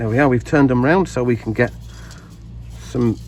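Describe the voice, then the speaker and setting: Noticeable background noise behind a male speaker at a moderate pace. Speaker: gardening video maker. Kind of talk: casual tutorial. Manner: halting, many fillers.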